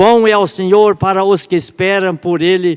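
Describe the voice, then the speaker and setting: A man speaks in a high pitch. His pace is fairly slow. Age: 70s. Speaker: church elder preaching. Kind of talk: sermon. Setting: church service. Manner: halting, with self-corrections.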